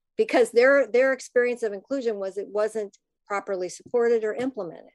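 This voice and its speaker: A woman with an American accent speaks in a normal speaking voice. Her pitch sits fairly high and varies in an ordinary way. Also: quiet background. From US Midwest, Minnesota. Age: 60s. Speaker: podcast host and parent advocate. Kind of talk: interview conversation.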